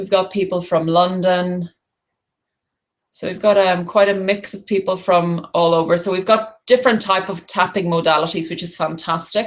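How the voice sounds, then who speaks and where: Speaking in an Irish accent at a moderate pace, a woman has a medium pitch and big swings in loudness. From Ireland. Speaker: tapping therapy practitioner and business coach. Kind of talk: webinar presentation. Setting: online webinar call. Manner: hesitant, many fillers.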